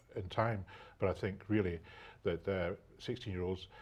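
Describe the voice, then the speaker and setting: A man with a Scottish accent speaks in a very deep, low pitch, somewhat breathy and with fairly even intonation. The background is quiet. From Scotland. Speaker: local politician. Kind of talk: live studio debate. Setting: TV studio. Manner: halting, repetitive fillers.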